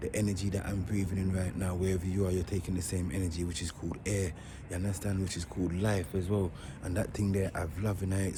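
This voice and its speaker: Very fast and monotone, a man speaks at a very deep, low pitch over noticeable background noise. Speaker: vlogger. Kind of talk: vlog commentary. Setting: outdoors. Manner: repetitive.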